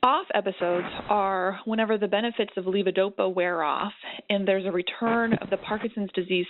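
A woman's normal speaking voice at a medium pitch, with ordinary pitch variation and a fairly quick pace. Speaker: neurologist. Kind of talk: expert panel discussion, webinar.

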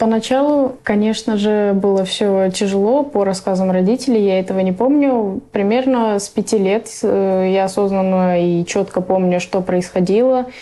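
A woman with an unremarkable speaking voice and a medium pitch. She goes at a moderate pace with ordinary pitch variation. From Russia, raised by Afghan refugee parents. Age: 20s. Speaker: refugee. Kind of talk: interview.

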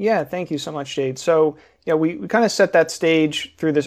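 In a plain, everyday voice, a man talks at a fairly quick pace with a fairly high pitch. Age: 30s. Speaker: financial advisor and podcaster. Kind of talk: live panel conversation with audience Q&A. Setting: live online audio room.

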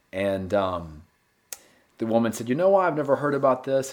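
A man speaks with a North Carolina accent. He keeps a fairly quick pace. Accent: US Southern (North Carolina). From North Carolina (Gastonia, western NC). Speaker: novelist. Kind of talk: interview.

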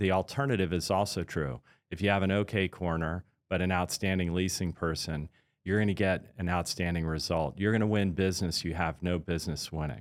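A man's very deep, low voice at a fairly quick pace, with fairly even intonation, in a very clean recording with a silent background. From Washington, D.C. area. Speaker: real estate company CEO. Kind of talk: interview.

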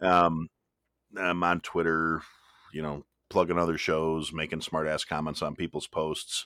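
A man with a very deep, low pitch speaks in monotone, flat intonation at a fairly slow pace with long, frequent pauses, in a dry, close sound with no echo. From US Midwest. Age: 40s. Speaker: podcast host. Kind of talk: casual chat.

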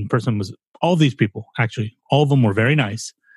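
Talking at a very fast pace, a man with a somewhat breathy, medium-pitched voice uses ordinary pitch variation, and the sound is dry and close with no echo. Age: 40s. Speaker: podcast co-host. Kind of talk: casual chat.

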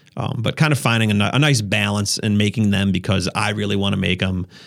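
Speaking at a fairly quick pace, a man with an Upper Midwest US accent has a fairly low pitch. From Wisconsin. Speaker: YouTuber and photographer. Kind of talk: casual chat. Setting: studio.

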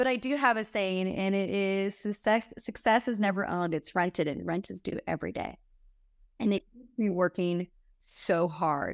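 Moderate pace and ordinary pitch variation, in a very clean recording with a silent background and a dry, close sound with no echo. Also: woman, medium pitch for a woman. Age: 30s. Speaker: chiropractor and reality TV star. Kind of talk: casual chat. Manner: animated.

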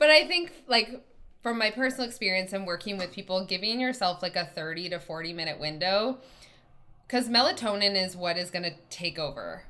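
Here is a woman with an unremarkable speaking voice and a Canadian accent, pitched at a medium level. Her intonation is lively and her pace fairly quick. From Canada. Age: 30s. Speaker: sleep expert and behavior coach. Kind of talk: interview.

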